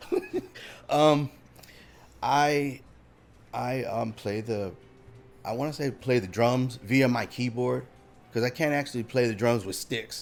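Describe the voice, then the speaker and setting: With music in the background, a man speaks at a fairly slow pace with fairly even intonation. He leaves long, frequent pauses. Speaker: sound engineer and musician. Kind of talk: casual interview.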